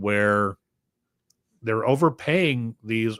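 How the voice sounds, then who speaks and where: In a very clean recording with a silent background and a dry, close sound with no echo, a man uses an ordinary speaking voice at medium pitch and a fairly slow pace. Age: 60s. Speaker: podcast co-host. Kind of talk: casual chat. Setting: live stream.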